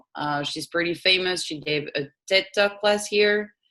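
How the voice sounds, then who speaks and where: In a French accent, a woman talks at a moderate pace with a fairly low pitch and ordinary pitch variation. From France, Paris. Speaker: PR agency founder. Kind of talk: interview.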